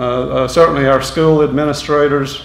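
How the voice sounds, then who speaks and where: Recorded with audible room echo and noticeable background noise, a man with a Tennessee accent speaks at a fairly high pitch. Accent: Southern US (Tennessee). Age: 60s. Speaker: hall of fame inductee. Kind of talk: acceptance speech. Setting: school assembly with audience. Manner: halting.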